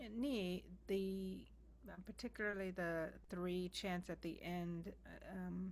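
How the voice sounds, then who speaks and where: This soft-spoken voice moves at a very slow pace. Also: woman. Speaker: practice participant. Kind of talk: casual chat. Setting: video call.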